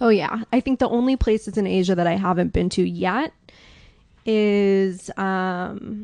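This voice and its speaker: A woman with an American accent speaks at medium pitch with ordinary pitch variation and a fairly slow pace. The background is quiet, and the sound is dry and close with no echo. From New York. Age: 30s. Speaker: watch sales advisor. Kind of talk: podcast interview.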